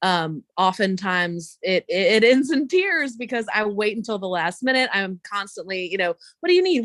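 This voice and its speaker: In an ordinary speaking voice, a woman with a fairly high pitch talks at a moderate pace, recorded very cleanly, dry and close with no echo against a silent background. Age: 30s. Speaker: career bartender, astrology show guest. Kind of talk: casual chat.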